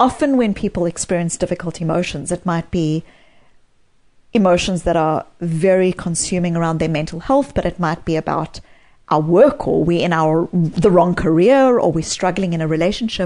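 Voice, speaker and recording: Her voice dark and mellow, a woman with a South African accent talks at a moderate pace in a fairly low pitch with ordinary variation. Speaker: psychologist and author. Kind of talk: interview.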